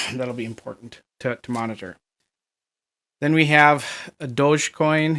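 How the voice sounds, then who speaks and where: The recording is very clean, with a silent background. A man with a slight Minnesota accent speaks at a fairly high pitch with ordinary variation. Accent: northern US (Minnesota) accent, slight. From US Upper Midwest (Minnesota). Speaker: crypto market analyst. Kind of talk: technical analysis commentary. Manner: casual, halting with many fillers.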